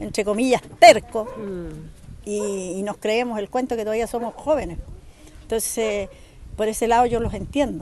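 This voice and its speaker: The recording is dry with no echo, with light background noise. A woman speaks at a moderate pace with fairly even intonation. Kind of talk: interview answer. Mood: saddened, concerned. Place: street. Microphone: phone near.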